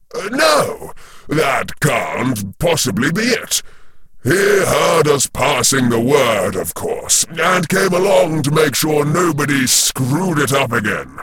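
A man puts on a character voice with a fairly high pitch at a fairly slow pace. Background noise is clear. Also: lively intonation. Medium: read story. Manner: cold, controlled.

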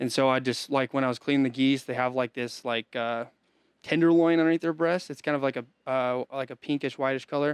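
With an unremarkable speaking voice at a medium pitch, a man talks fairly quickly and with fairly even intonation, the sound dry and close with no echo. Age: 20s. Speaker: hunting guide. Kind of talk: casual chat.

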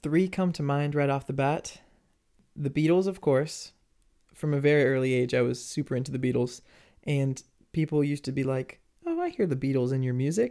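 A squeaky man's voice, fairly high in pitch, with a dark, mellow tone, a fairly quick pace and long, frequent pauses, on a very clean recording with a silent background. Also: fairly even intonation. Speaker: singer-songwriter and music producer. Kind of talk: casual interview chat. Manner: laughs often.

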